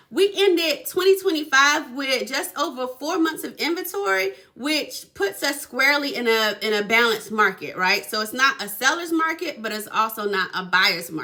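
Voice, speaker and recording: Over noticeable background noise, a woman in a raised, projected voice talks at a high pitch and moderate pace, with an animated tone, very wide pitch swings and hardly any pauses. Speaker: real estate agent. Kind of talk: casual explainer video.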